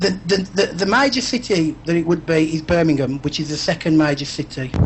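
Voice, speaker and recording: Over noticeable background noise, a man talks at a fairly quick pace and fairly high pitch, with ordinary pitch variation. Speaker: paranormal investigator. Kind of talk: interview on live web show. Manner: halting, repeats words.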